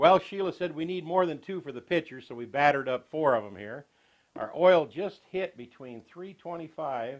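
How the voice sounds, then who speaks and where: Lively intonation from a man with an American accent, at a fairly slow pace. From US South. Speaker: cooking show host. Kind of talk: tutorial. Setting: home kitchen. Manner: folksy. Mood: cheerful, folksy. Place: kitchen.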